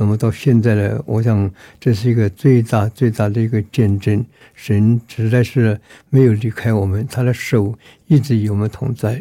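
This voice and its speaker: Breathy to some degree, the voice has a dark, mellow tone, fairly even intonation and a moderate pace, captured in a very clean recording with a silent background. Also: man. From Myanmar. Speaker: pastor. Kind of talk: testimony.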